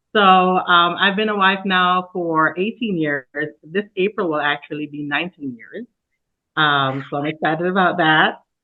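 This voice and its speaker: A woman speaks with a Jamaican accent. Her fairly low pitch shows ordinary pitch variation. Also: moderate pace. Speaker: church planter and pastor. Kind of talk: casual interview.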